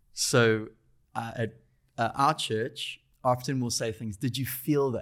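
A man with a South African accent speaks at a very slow pace. His intonation is fairly even, and the recording is very clean with a silent background. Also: medium pitch for a man. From South Africa, Durban. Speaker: faith-based coding school spiritual director. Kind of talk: casual interview.

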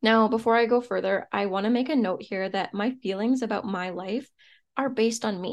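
Against a quiet background, a woman with a plain, everyday voice speaks at a moderate pace with fairly high pitch and fairly even intonation. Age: 30s. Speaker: podcast host, entrepreneur. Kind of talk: solo podcast monologue, motivational.

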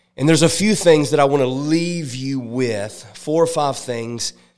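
With music in the background, a man speaks in an animated tone. His pace is fairly slow and his pitch variation ordinary. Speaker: evangelist. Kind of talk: sermon. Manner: call-and-response, fervent.

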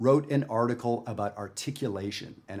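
An unremarkable speaking voice from a man with a Canadian accent, medium in pitch, at a moderate pace with fairly even intonation. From Canada. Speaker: jazz educator. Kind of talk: tutorial. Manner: casual, conversational.

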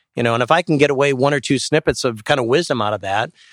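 With an Upper Midwest accent, a man speaks at a very fast pace with ordinary pitch variation, in a dry, close sound with no echo and a very clean recording with a silent background. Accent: Upper Midwest American. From Wisconsin, Sheboygan. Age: 50s. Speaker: company CEO. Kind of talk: live interview. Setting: live event at a club venue.

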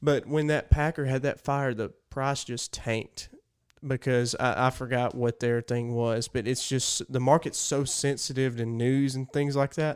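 A man's medium-pitched, monotone, flat speech with an Alabama accent at a moderate pace, on a very clean recording with a silent background. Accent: Southern US (Alabama). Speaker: podcast co-host. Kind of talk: casual chat. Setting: studio.

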